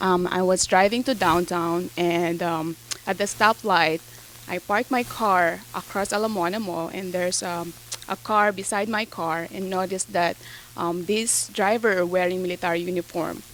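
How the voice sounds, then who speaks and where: A woman with a Filipino accent and fairly even intonation. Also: medium pitch for a woman, moderate pace. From Philippines. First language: Tagalog. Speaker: real estate agent. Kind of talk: interview. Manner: hesitant, many fillers.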